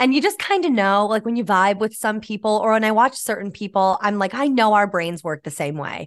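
Against a quiet background, a woman with a plain, everyday voice and fairly high pitch talks at a fairly quick pace with lively intonation and hardly any pauses. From upstate New York, near Albany. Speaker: social media comedian and actor. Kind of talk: casual interview chat.

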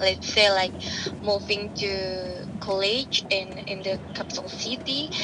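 With an Indonesian accent, a woman speaks at medium pitch and a very slow pace over noticeable background noise. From Indonesia (Central Java). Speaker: stay-at-home mother. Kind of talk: interview.

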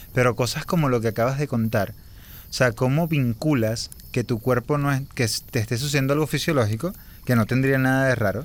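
In a very clean recording with a silent background, a man with an ordinary speaking voice talks fairly quickly at a medium pitch, with ordinary pitch variation. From Venezuela, Anzoátegui. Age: 30s. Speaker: podcast host. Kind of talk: casual chat. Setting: outdoors by a campfire in woods.

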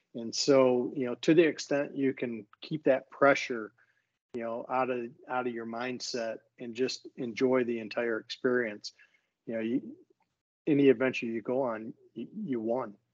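In an unremarkable speaking voice, a man of medium pitch talks at a moderate pace with fairly even intonation and big swings in loudness. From Michigan. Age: 60s. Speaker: retired executive and bowhunter. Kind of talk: casual interview.

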